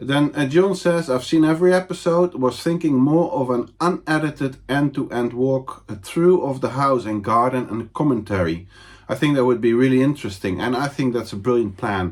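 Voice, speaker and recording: A man with a non-native accent, medium pitch, lively intonation and hardly any pauses. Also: moderate pace, very clean recording, silent background. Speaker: home renovator. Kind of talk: casual talk to camera. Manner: unscripted, hesitant.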